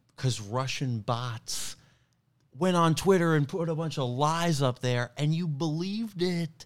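Delivered at a fairly slow pace, the voice comes with a New York accent. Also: man, fairly high pitch for a man, ordinary pitch variation, very clean recording, silent background. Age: 30s. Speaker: stand-up comedian. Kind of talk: casual chat.

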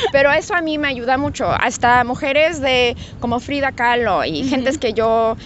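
A woman speaks at a high pitch and a moderate pace. Her pitch varies in an ordinary way. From Guadalajara, Mexico. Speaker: cosmetics brand founder, former lawyer. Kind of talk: interview. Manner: halting, with many fillers.

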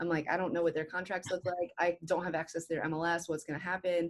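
In a plain, everyday voice, a woman with an American accent speaks at a fairly low pitch with fairly even intonation, recorded very cleanly against a silent background. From rural northern Ohio. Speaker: real estate agent. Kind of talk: interview.

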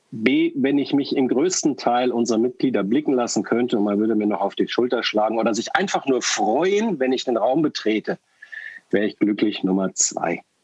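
Lively intonation marks this man's medium-pitched voice. It is an ordinary speaking voice at a moderate pace. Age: 50s. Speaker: party board member. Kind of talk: interview.

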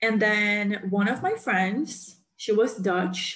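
A woman with a Portuguese accent speaks in a somewhat breathy voice with ordinary pitch variation. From Brazil. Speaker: podcast host. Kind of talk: casual chat.

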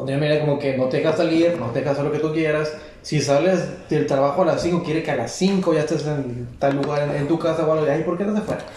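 A very fast voice in a Mexican accent with fairly even intonation, audible room echo and noticeable background noise. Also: man, fairly high pitch for a man. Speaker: podcast co-host. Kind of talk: casual chat.

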